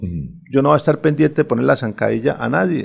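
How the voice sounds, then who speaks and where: A man speaks with vocal fry. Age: 50s. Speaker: retired army general and political candidate. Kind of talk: radio interview. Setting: radio studio.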